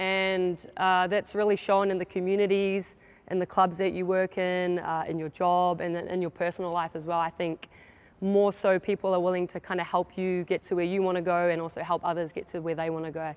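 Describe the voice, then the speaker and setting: A woman speaks at a fairly quick pace in a flat, monotone delivery. Her pitch is medium, with a slight New Zealand accent. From New Zealand, Gisborne (east coast). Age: 30s. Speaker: basketball coach. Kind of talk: coaching clinic presentation. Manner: casual, many fillers.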